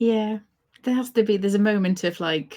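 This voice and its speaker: A woman's somewhat breathy voice in a British accent, fairly quick in pace, in a very clean recording with a silent background. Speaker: organizational psychologist and author. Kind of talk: interview.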